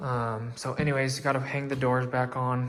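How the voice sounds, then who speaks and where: A man with a medium pitch talks as noticeable noise fills the background. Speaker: vlogger documenting own house build. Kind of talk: casual vlog walkthrough. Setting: inside a house under construction, window open. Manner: casual with many filler ums; quiet, keeping voice down.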